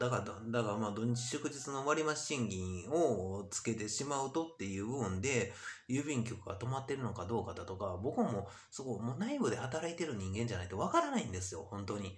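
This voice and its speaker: Fairly quick pace and lively intonation. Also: man. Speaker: YouTuber. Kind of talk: monologue vlog. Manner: rambling, many fillers. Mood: frustrated, complaining. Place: home room. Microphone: webcam.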